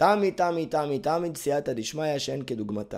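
On a very clean recording with a silent background, a man speaks at a fairly quick pace in a fairly high pitch. His tone is animated and his intonation lively. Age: 30s. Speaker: life coach and NLP trainer. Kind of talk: podcast monologue.

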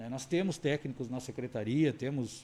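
Speaking at a moderate pace, a man has a dark, mellow tone, medium pitch and fairly even intonation. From Camaquã, Rio Grande do Sul, Brazil. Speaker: municipal environment secretary. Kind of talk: radio interview.

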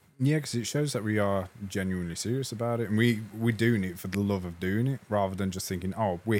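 A man with an English accent talks at a fairly quick pace with hardly any pauses, his fairly low pitch showing ordinary pitch variation. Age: 20s. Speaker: music podcast co-host. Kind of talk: casual chat. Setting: studio.

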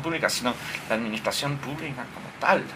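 Noticeable background noise behind a medium-pitched male voice. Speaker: newspaper editor. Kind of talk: casual chat. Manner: calm, soothing.

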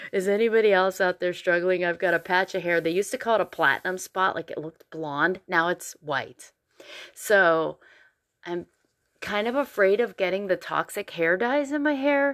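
In a normal speaking voice, a woman at medium pitch talks at a moderate pace with lively intonation on a very clean recording with a silent background. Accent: American. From Pennsylvania. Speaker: podcast host, singer and actress. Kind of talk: casual monologue.

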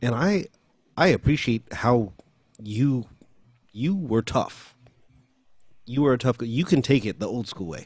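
Somewhat breathy and with lively intonation, a man with an American accent speaks at a medium pitch, taking long, frequent pauses, on a very clean recording with a silent background. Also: fairly slow pace. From US, Filipino American. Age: 40s. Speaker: vocal coach and audio engineer. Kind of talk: interview.

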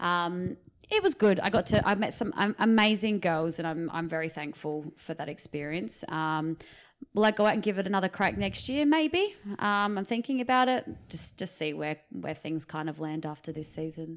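With an Australian accent, a woman talks at a moderate pace in a fairly low pitch. Her intonation is lively. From Riverland, South Australia. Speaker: netball player and coach. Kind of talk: casual interview chat. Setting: recorded in her house.

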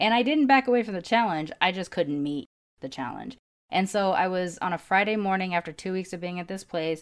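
A woman's ordinary speaking voice, medium in pitch, with lively intonation at a fairly quick pace. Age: 40s. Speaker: podcast host. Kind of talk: casual chat. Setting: video call.

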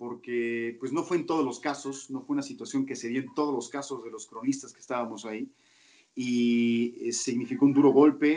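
Here is a man with an unremarkable speaking voice. His pitch sits at a medium level and his intonation is fairly even. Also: moderate pace, big swings in loudness. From Mexico, Toluca. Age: 40s. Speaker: sports commentator. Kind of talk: interview.

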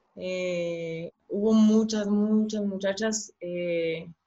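A somewhat breathy woman. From Chihuahua, northern Mexico. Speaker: professional women's footballer. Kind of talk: casual interview.

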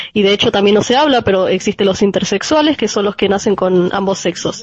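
Someone with a Rioplatense accent speaks at a fairly quick pace with ordinary pitch variation against noticeable background noise. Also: woman. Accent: Rioplatense Spanish (porteño). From Argentina, Buenos Aires. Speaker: radio show guest. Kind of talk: casual panel discussion. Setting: remote connection with own microphone.

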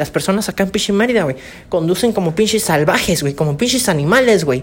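Fairly low in pitch, a woman talks at a very fast pace. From Campeche, Mexico. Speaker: podcaster. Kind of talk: casual storytelling monologue. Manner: casual, slangy.

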